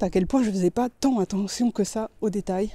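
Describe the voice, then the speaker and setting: A woman speaks in a dark, mellow tone. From Belgium. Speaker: UI designer and street photographer. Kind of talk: casual vlog talk to camera. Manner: casual, chatty.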